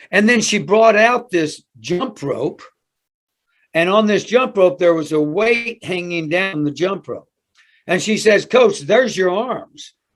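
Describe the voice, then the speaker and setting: A high-pitched man with an American accent speaks fairly slowly, with lively intonation, on a very clean recording with a silent background. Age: 70s. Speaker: weightlifting coach. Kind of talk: podcast interview. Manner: animated storytelling.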